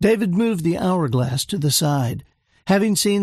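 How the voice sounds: Lively intonation marks a natural reading voice heard against a quiet background.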